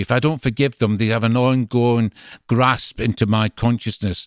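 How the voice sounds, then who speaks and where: A man with a strong Glasgow accent speaks at a fairly quick pace with fairly even intonation, in a very clean recording with a silent background and a dry, close sound with no echo. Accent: strong Glaswegian Scottish. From Scotland, Greenock near Glasgow. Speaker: visiting minister. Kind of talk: interview conversation.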